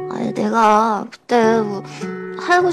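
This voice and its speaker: Clear music plays in the background. A woman is speaking over it. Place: home room.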